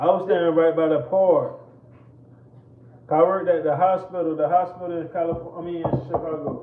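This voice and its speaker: Over noticeable background noise and audible room echo, a man with an American accent speaks at a fairly quick pace, leaving long, frequent pauses. His high pitch stays in a monotone, flat intonation. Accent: Southern US, sounds like from Florida. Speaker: live stream co-host. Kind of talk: casual chat. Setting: kitchen.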